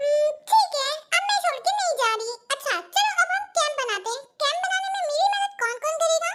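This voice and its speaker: A woman's put-on character voice, extremely high and fairly quick, with lively intonation. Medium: fan dub. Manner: firm, commanding.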